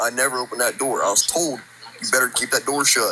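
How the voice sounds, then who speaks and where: Noticeable background noise runs through the clip. A man is the speaker. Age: 18. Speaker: caller sharing a ghost story. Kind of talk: storytelling. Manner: casual, halting with fillers.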